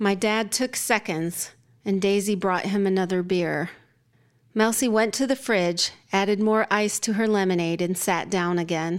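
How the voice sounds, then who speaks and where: In a very clean recording with a silent background, a woman talks at medium pitch and a moderate pace, with fairly even intonation and very even loudness. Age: 50s. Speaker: fiction writer. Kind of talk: interview; reading aloud. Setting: studio. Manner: halting.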